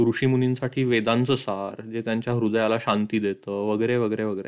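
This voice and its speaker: With ordinary pitch variation, the man speaks at a medium pitch. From Madhya Pradesh, India. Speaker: podcaster and writer. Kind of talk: narrated podcast monologue.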